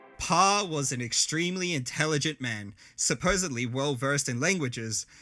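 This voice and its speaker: A man's fairly high-pitched voice with lively intonation at a moderate pace, music in the background. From Australia, Adelaide. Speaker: content creator. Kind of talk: scripted narration. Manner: animated.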